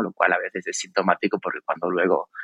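The man speaks at a very fast pace in a dry, close sound with no echo. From Spain, Extremadura (Cáceres). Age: 40s. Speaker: creative and innovation consultant. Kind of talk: interview conversation. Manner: repeats words, thinking aloud.

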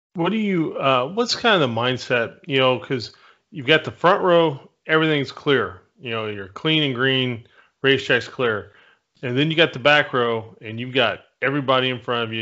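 A man speaks at a moderate pace in an ordinary speaking voice. His pitch is medium, with ordinary pitch variation. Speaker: podcast co-host. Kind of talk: casual chat.

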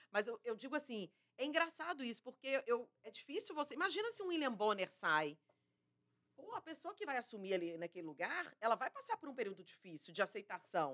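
The voice moves at a fairly quick pace. Its pitch swings very widely. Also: woman, high pitch for a woman. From Minas Gerais, Brazil. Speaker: TV journalist. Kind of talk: interview conversation.

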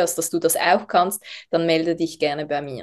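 A woman with a Swiss accent, fairly low in pitch, at a moderate pace. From Switzerland, Basel region. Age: 30s. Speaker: essential oils network marketer. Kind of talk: podcast interview.

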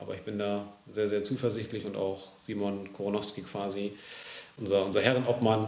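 A man with a fairly low pitch speaks at a moderate pace in a monotone, flat manner. Noticeable background noise and audible room echo fill the recording. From northern Germany, Lower Saxony (Großenkneten). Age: 20s. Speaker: amateur football club section head. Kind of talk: casual interview.

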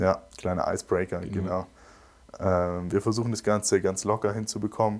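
The man's pitch is fairly low. His intonation stays monotone and flat. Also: moderate pace. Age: young. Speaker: podcast host and photographer. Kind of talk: casual chat. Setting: video call.

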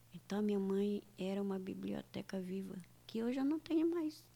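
This woman has an ordinary speaking voice at medium pitch. She talks at a moderate pace. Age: 60s. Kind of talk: radio interview.

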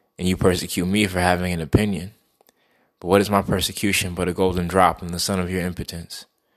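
A man speaks at a very fast pace with a very deep, low pitch and monotone, flat intonation. The recording is very clean, with a silent background. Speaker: poet and monologue performer. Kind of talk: dramatic monologue, theatrical verse delivery about kings and a dying world. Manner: casual and chatty in the intro and outro.

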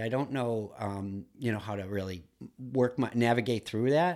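Here a man with an American accent speaks at medium pitch and a moderate pace. His pitch varies in an ordinary way, and the recording is very clean with a silent background. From US Midwest, Duluth, Minnesota. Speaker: entrepreneur and painter. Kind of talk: casual interview. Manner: halting, many fillers.

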